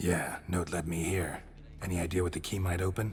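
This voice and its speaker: A man in a put-on character voice, very deep and low, at a fairly quick pace, over clear background noise. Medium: video game. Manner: curt, deadpan.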